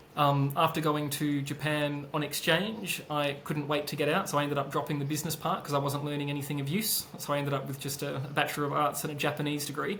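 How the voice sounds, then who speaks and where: A man with an Australian accent and a fairly high pitch rattles along at a very fast pace with hardly any pauses and monotone, flat intonation. Noticeable background noise and audible room echo fill the recording. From Australia (Perth). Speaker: business consultant and founder. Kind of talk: interview. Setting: podcast. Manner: hesitant, many fillers.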